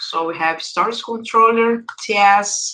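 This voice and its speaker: The voice has a bright, sharp tone with ordinary pitch variation. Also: woman. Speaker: software developer advocate. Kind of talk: coding tutorial workshop. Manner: hesitant, many fillers.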